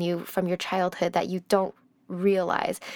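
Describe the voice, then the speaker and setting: A woman with an unremarkable speaking voice talks at a moderate pace in a medium pitch. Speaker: podcast host. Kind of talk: interview, podcast intro.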